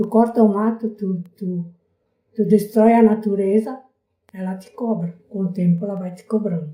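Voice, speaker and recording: A woman's somewhat breathy, dark, mellow voice at medium pitch, fairly slow and fairly even, with long, frequent pauses and big swings in loudness. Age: 80s+. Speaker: local resident, elderly interviewee. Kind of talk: oral history interview.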